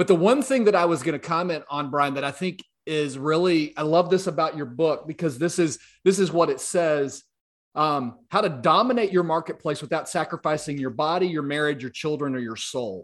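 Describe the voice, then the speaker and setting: Someone with a Southern US accent talks at a fairly quick pace with ordinary pitch variation against a quiet background. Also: man, fairly high pitch for a man. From US South, South Louisiana. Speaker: podcast host. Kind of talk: interview conversation.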